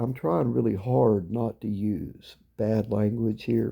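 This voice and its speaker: A man's very slow, fairly low-pitched voice, with vocal fry and a dark, mellow tone. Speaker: local activist vlogger. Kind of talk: angry video rant. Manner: sarcastic.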